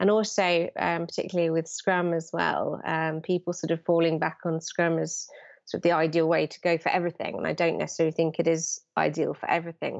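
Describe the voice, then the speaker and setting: Delivered at a fairly quick pace with hardly any pauses, the speech keeps a monotone, flat intonation. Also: woman, fairly low pitch for a woman. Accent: British. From London, England. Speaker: digital project manager. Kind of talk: interview.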